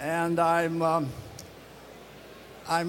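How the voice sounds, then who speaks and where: With noticeable background noise and audible room echo, a man speaks in a high pitch. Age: 90s. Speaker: retired air force test pilot. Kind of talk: acceptance speech. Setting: stage with audience. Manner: halting.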